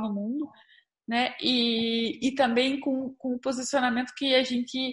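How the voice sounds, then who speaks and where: A woman talks fairly slowly, her voice pitched high. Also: quiet background. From Curitiba, Brazil. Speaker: podcast host. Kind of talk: podcast interview.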